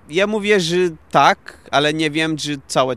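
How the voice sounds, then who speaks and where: A man with a Portuguese accent speaks at a very slow pace. His tone is bright and sharp, with ordinary pitch variation. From Portugal. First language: Portuguese (speaking Polish). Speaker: IT worker and concert organiser. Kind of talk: interview. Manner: halting.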